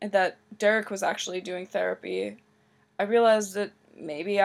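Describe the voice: Someone plainly reads text aloud.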